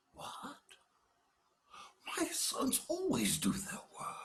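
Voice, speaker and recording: A man's put-on character voice at an extremely high pitch, delivered at a very slow pace. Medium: read story.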